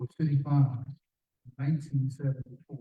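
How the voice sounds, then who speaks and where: Somewhat breathy and dark, mellow in tone, a man's fairly high voice moves at a moderate pace with monotone, flat intonation. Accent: American. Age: 70s. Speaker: community leader, former corporate lobbyist. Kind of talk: public forum speech. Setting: community forum with audience. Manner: direct, earnest; halting with fillers and repetitions.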